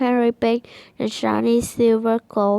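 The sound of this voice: Reading is done here in an unforced voice.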